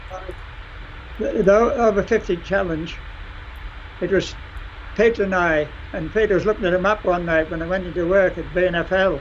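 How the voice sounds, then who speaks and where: With a Cumbrian accent, a man with a high voice speaks at a moderate pace and fairly even intonation, leaving long, frequent pauses over light background noise. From Cumbria, England; England. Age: 80s+. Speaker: retired fell runner. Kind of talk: interview answer. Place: home room. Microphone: video call.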